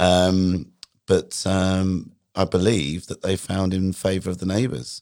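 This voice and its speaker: Very deep and low, a man's voice with a British accent moves at a very slow pace with fairly even intonation in a very clean recording with a silent background. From England. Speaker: guest, former colleague of host. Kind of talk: casual interview chat. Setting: studio.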